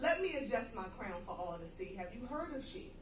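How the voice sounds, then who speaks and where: Audible room echo surrounds a woman with an American accent, whose high pitch moves in very wide swings. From US Northeast, Philadelphia. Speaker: poet. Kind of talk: stage introduction; spoken word performance.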